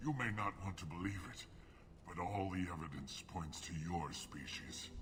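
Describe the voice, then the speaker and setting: A man puts on a character voice with a very deep, low pitch. Clear background noise is present. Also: moderate pace. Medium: video game. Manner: weak, bitter.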